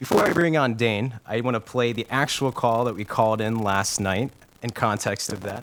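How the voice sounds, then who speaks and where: In an American accent, a man with an unremarkable speaking voice talks at a moderate pace with ordinary pitch variation. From Ohio. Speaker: internet radio show host. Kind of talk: casual chat. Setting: internet radio stream.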